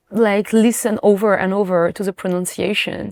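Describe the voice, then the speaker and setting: A woman with a French accent speaks at medium pitch with fairly even intonation, in a very clean, dry, close recording with no echo and a silent background. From France. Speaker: singer. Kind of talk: interview. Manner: halting.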